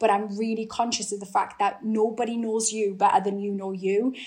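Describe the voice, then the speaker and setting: A woman's fairly high, monotone, flat voice with a Geordie accent at a fairly quick pace. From northeast England. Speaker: actor. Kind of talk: interview.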